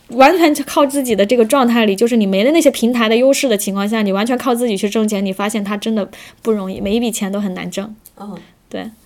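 A woman with a fairly high pitch races along at a very fast pace. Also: ordinary pitch variation. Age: 30s. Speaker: street dance teacher, former office worker. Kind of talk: casual chat. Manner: halting, many fillers.

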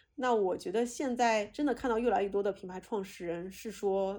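A woman talks at a fairly quick pace in a fairly high pitch, her tone dark and mellow with ordinary pitch variation. The recording is very clean, with a silent background. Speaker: podcast host. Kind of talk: casual interview. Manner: intense, fiery.

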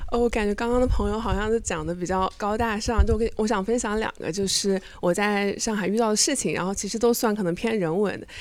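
A woman's fairly high voice at a very fast pace, with hardly any pauses and fairly even intonation. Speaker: audience member. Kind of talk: casual anecdote at live show.

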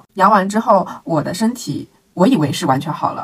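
A woman at a medium pitch sounds somewhat breathy, her voice making very wide pitch swings at a moderate pace. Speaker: podcast co-host. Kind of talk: casual chat.

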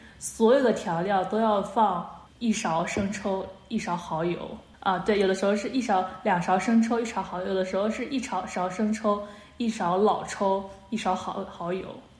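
A woman speaks at a moderate pace with medium pitch and fairly even intonation. Noticeable background noise and audible room echo are present. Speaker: podcast co-host. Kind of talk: casual chat. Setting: video call.

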